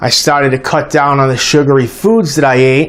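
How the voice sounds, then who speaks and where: Noticeable background noise accompanies a man talking at a moderate pace. His voice is fairly high, with ordinary pitch variation. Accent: American. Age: 40s. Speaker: diabetes health vlogger. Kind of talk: personal testimony vlog. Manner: casual, conversational.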